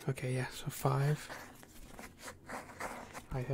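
A soft-spoken man at a very slow pace with light background noise. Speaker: ASMR creator. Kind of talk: ASMR soft-spoken talk to camera. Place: home room.

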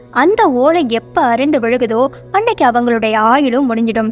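With music playing in the background, a woman speaks with lively intonation. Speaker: story narrator. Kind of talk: storytelling narration.

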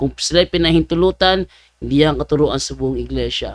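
A man's fairly quick speech in a dry, close sound with no echo. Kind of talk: commentary vlog. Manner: animated.

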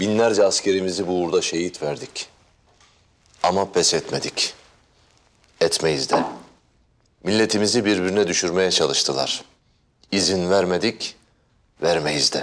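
A man with a very deep, low pitch talks at a fairly slow pace, using ordinary pitch variation and long, frequent pauses. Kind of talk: scripted drama dialogue, solemn speech. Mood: serious, resolute, grave.

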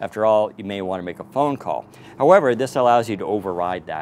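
It is a normal speaking voice: a man at a fairly low pitch with ordinary pitch variation. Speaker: tech reviewer. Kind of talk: tutorial. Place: street.

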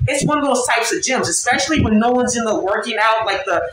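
A man's speech comes with noticeable background noise around it. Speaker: vlogger. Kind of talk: casual vlog story time. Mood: irritated, ranting. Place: home room. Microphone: phone near.

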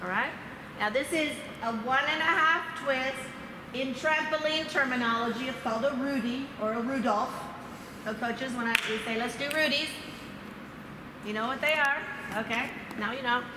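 A woman talks at a moderate pace with ordinary pitch variation, leaving long, frequent pauses. Loud background noise and audible room echo fill the recording. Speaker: trampoline coach presenter. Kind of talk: coaching demonstration talk. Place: gym.

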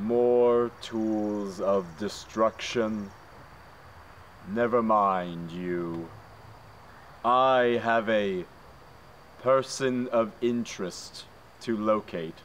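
Putting on a character voice at medium pitch, a man speaks at a very slow pace with long, frequent pauses over clear background noise. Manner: fanatical, shouting.

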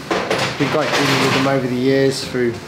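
A man is speaking. Loud noise fills the background. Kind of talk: product explanation to camera. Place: workshop. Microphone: lapel.

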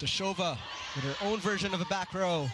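Against noticeable background noise, a man with a high pitch and ordinary pitch variation speaks in an excited tone with a raised, projected voice at a moderate pace. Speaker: volleyball play-by-play commentator. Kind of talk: live sports play-by-play commentary on a volleyball match. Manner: excited, laughing at standout plays.

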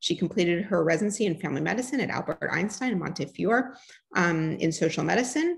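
A woman's somewhat breathy voice with lively intonation, against a quiet background. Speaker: grand rounds host. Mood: warm, slightly hesitant. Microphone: webcam.

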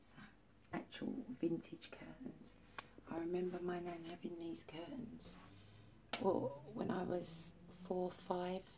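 Noticeable background noise sits behind a woman with a fairly low voice. She speaks at a fairly slow pace with ordinary pitch variation and long, frequent pauses. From East London, Barking and Dagenham; London. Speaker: vlogger. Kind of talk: casual vlog monologue. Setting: at home, handheld camera. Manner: rambling, hesitant with many fillers. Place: home room. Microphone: phone near.

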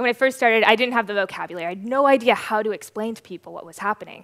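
In quiet surroundings, a woman's voice moves through ordinary pitch variation. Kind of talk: conference talk storytelling. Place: stage. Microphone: headset.

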